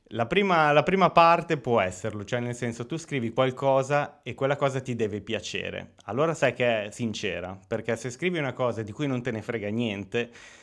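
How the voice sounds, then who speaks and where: Speaking with an unremarkable speaking voice at a medium pitch, a man moves at a moderate pace with lively intonation and hardly any pauses. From Italy, Romagna (Lugo). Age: 30s. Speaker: writer. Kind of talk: interview.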